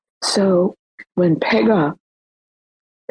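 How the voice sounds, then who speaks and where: Her pitch is fairly low for a woman. The woman's pitch shows ordinary variation. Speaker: show host. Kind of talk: casual chat. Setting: online audio room. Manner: animated.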